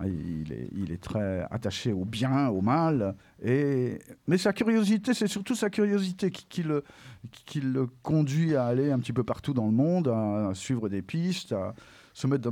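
A man speaks at a medium pitch in a dark, mellow tone, his pitch swinging very widely. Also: fairly slow pace, very clean recording, silent background. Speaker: French teacher and comics expert. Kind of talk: interview on school radio.

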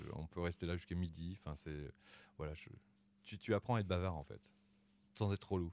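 Speaking at a fairly quick pace, a man with a very deep, low voice keeps his intonation fairly even. Long, frequent pauses break up his speech in a very clean recording with a silent background. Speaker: community radio host. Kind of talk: interview. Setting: radio station premises.

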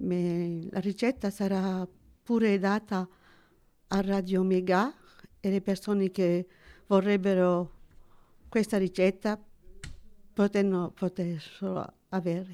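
Her tone dark and mellow, a woman speaks at a very slow pace in a monotone, flat intonation, with long, frequent pauses. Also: medium pitch for a woman. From Sicily, moved to France as child. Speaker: retiree, cultural association member. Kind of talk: interview. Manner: halting.

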